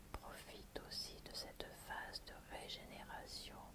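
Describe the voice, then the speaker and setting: Someone whispers in a soothing tone, with noticeable background noise behind them. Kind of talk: ASMR oracle card reading, relaxation. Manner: soft, soothing, whispered murmuring.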